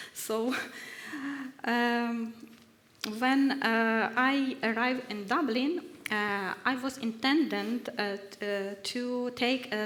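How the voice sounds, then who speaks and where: A woman speaks at a fairly high pitch with fairly even intonation. Noticeable background noise can be heard. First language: Ukrainian (English not mother tongue). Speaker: researcher at risk, research fellow. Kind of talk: workshop testimony. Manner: halting, many hesitations.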